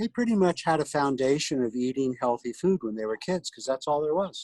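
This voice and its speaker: In an ordinary speaking voice, a man speaks at a fairly high pitch with lively intonation, recorded with a dry, close sound and no echo. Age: 60s. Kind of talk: casual chat.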